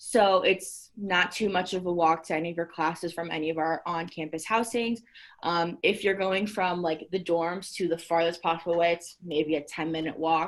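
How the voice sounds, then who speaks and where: A woman's fairly low-pitched voice. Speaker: university housing staff. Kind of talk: virtual info session presentation. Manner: fast.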